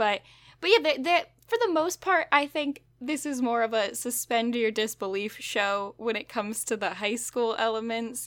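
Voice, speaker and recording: On a very clean recording with a silent background, a woman with a fairly high pitch speaks at a moderate pace with lively intonation. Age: 20s. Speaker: podcast host. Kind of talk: casual chat. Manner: animated.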